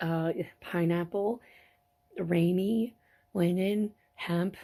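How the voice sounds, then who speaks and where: A somewhat breathy woman's voice with a dark, mellow tone and ordinary pitch variation, on a very clean recording with a silent background. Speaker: fiber crafter, weaver. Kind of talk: casual talk to camera. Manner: chatty, playful.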